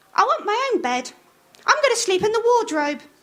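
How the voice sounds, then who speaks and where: A woman puts on a squeaky character voice at an extremely high pitch. She speaks at a fairly quick pace. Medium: read story. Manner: hesitant.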